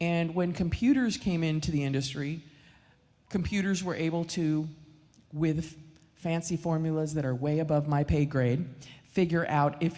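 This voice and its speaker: A woman speaks at a very deep, low pitch with a dark, mellow tone. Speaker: mortgage lender. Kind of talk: financial seminar talk. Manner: loud.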